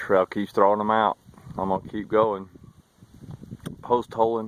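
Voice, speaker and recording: A man with a Southern US accent speaks at a fairly low pitch in a monotone, flat intonation. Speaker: hiking vlogger. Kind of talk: outdoor vlog narration. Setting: outdoors on snowy trail.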